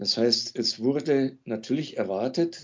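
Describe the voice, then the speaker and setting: A man speaks at a very slow pace. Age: 60s. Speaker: music teacher, former sect member. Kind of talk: interview testimony. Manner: hesitant, frequent fillers.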